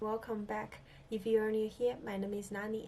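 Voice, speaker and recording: Amid noticeable background noise, a woman with a non-native accent speaks at a fairly quick pace and medium pitch. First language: not English. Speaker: filmmaker and video creator. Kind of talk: casual chat to camera. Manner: halting, many fillers.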